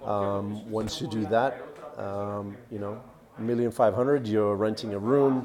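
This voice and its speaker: Amid noticeable background noise and audible room echo, a man with an American accent talks fairly slowly in a fairly low voice with fairly even intonation. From Australia, also US and Canada. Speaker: vlogger and real estate investor. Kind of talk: live Q&A stream. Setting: coworking space cafe. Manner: hesitant, many fillers and repetitions.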